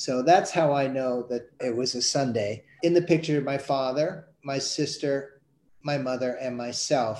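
An ordinary speaking voice from a man, fairly high in pitch, with fairly even intonation at a fairly slow pace. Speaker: cartoonist. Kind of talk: interview conversation.

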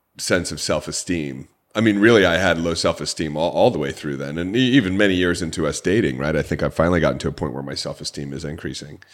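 Very deep, low pitch from a man with an American accent, vocal fry, ordinary pitch variation and a very fast pace. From Orange County, California. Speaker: podcast host and author. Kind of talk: podcast interview, promotional.

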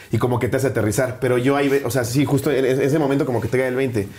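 Noticeable background noise can be heard. Over it, a man talks at a medium pitch. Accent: Mexican. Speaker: stand-up comedian. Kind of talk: casual interview chat.

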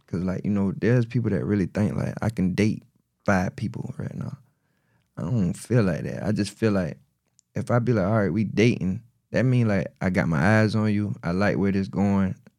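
With a South Carolina accent, a man speaks at a moderate pace and a fairly low pitch. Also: ordinary pitch variation. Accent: Southern US, South Carolina. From US South, South Carolina (Marion). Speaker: battle rapper. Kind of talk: casual chat.

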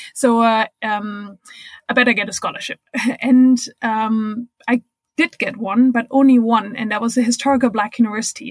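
A woman with a German accent speaks at a moderate pace in a fairly high pitch, her intonation flat and monotone, the sound dry and close with no echo. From Germany. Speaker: record-setting cyclist and diversity consultant. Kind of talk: interview. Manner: hesitant, many fillers.

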